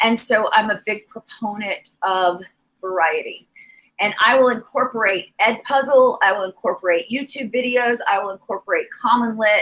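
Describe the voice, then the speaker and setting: A woman's animated voice at a moderate pace with ordinary pitch variation. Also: fairly high pitch for a woman. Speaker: teacher. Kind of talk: teacher training presentation.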